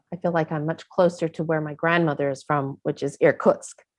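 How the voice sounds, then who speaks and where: This woman has a Chicago accent, a fairly low pitch and fairly even intonation, speaking at a moderate pace. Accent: American (Chicago). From US, Chicago. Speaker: actress. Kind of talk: casual chat.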